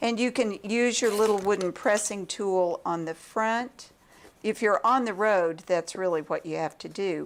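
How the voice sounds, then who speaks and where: A woman with a medium pitch and a calm tone speaks at a fairly slow pace with ordinary pitch variation. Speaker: quilting teacher. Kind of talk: tutorial. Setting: pre-recorded video at home.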